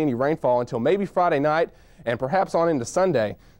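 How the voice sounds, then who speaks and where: This man has a fairly high pitch and a Southern US accent. His pitch varies in an ordinary way, and the sound is dry and close with no echo. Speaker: TV meteorologist. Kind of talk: TV weather forecast. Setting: studio.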